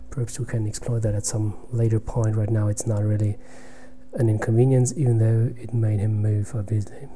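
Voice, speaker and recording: Audible room echo surrounds a man's medium-pitched voice. He talks at a fairly quick pace in a monotone, flat intonation. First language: German. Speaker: chess streamer. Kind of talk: live game commentary. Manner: halting.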